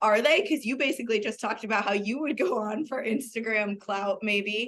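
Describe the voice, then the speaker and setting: At a moderate pace, a woman with a fairly high pitch speaks in an ordinary speaking voice. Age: 30s. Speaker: podcast co-host. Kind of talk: casual chat.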